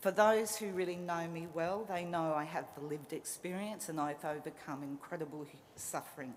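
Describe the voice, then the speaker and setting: With an Australian accent, a woman speaks at a fairly low pitch. Audible room echo surrounds her voice. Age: 50s. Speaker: social worker. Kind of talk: graduation speech. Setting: stage with audience. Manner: passionate.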